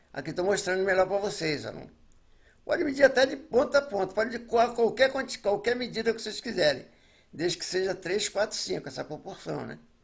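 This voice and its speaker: Big swings in loudness and lively intonation mark this fairly quick delivery. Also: man, high pitch for a man. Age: 70s. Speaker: retired construction foreman. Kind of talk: tutorial. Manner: halting, repetitive; casual, chatty.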